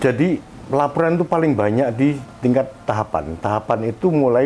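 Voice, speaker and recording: A man speaks fairly quickly at a medium pitch, his voice swinging very widely up and down. Noticeable background noise runs underneath. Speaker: election ethics council chair, former journalist. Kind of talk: radio interview. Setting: guest's office. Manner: halting.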